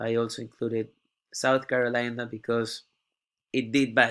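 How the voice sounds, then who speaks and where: A man speaks with a non-native accent. His pace is moderate and his intonation monotone and flat. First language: not English. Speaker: university student. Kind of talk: class presentation tutorial. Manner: halting.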